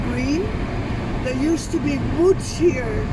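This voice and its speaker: Loud background noise sits behind the voice. A woman speaks at a fairly slow pace. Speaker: local guide friend. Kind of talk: casual tour commentary. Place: car. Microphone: phone near.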